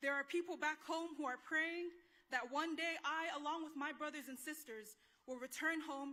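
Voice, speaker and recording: In a raised, projected voice with an American accent, a woman talks at a high pitch and a fairly quick pace with ordinary pitch variation. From American Samoa. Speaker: graduating student speaker. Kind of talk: commencement speech. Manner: formal.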